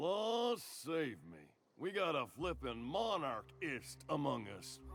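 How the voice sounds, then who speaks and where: A man's put-on character voice, drawling at a very slow pace and medium pitch. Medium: video game. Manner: folksy drawl, colloquial.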